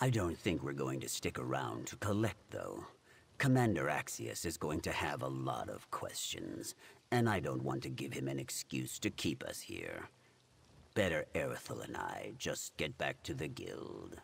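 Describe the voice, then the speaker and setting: This man is doing a put-on character voice. It sits very deep and low in pitch. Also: moderate pace. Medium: video game. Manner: dry, weary, deadpan.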